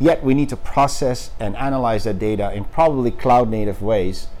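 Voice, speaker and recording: The voice shows ordinary pitch variation, with audible room echo in the room. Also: man. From Netherlands. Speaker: startup founder and CEO. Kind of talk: interview. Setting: company office.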